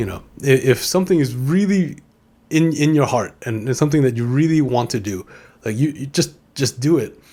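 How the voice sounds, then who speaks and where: Fairly high-pitched man with a New York accent and a dark, mellow tone, at a fairly quick pace. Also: ordinary pitch variation. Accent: New York American. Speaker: podcast host, former DJ. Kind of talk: casual monologue. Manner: halting, many repeated words.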